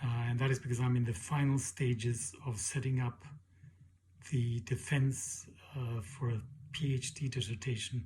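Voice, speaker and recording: A man speaks at a medium pitch and a moderate pace. His voice is somewhat breathy. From Mexico. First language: Spanish. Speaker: PhD student and leadership educator. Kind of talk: self-introduction for a class. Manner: hesitant, with many fillers.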